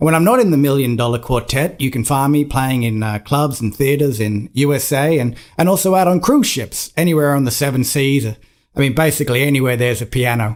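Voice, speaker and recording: With an Australian accent and ordinary pitch variation, a man with a fairly high pitch talks at a fairly quick pace with hardly any pauses in a very clean recording with a silent background. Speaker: pianist and musical theatre performer. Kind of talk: casual introduction to camera.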